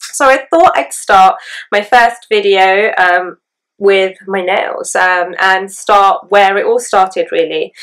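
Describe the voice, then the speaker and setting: Here a woman speaks with an English accent at a medium pitch. Her pace is fairly slow. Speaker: beauty vlogger. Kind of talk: tutorial. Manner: hesitant, many fillers.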